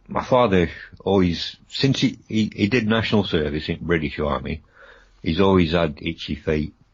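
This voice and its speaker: A man talks at a very deep, low pitch and sounds somewhat breathy. His pace is moderate. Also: lively intonation. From Rhodesia (Zimbabwe), Bulawayo. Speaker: paranormal radio guest. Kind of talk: radio interview. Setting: radio show.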